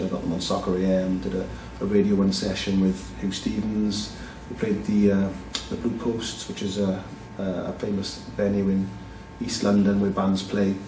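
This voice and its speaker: In a Welsh Valleys accent, a man with fairly low pitch talks at a moderate pace. The recording has audible room echo and noticeable background noise. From South Wales, Merthyr Tydfil (valleys). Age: 40s. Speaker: film producer, director and actor. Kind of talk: casual interview.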